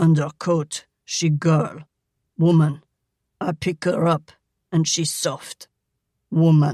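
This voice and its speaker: Using a put-on character voice, a man speaks at a fairly high pitch and a very slow pace in a monotone, flat intonation, with long, frequent pauses. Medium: read story. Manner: halting, broken English.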